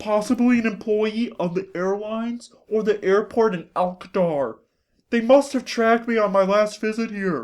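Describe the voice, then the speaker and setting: Using a put-on character voice, a man talks at a moderate pace and a high pitch. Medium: read story. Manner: formal, stiff.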